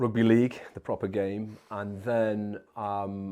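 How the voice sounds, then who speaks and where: His dark, mellow tone stays fairly low in pitch as the man speaks in a flat monotone. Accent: East Midlands. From English East Midlands (Nottingham/Mansfield), born in Wigan. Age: 30s. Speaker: former special forces soldier and entrepreneur. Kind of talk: interview.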